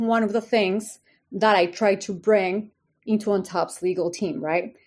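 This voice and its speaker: A woman's fairly high voice with a Spanish accent, fairly slow in pace and ordinary in pitch variation, in a very clean recording with a silent background. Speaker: company legal executive, lawyer. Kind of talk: casual interview.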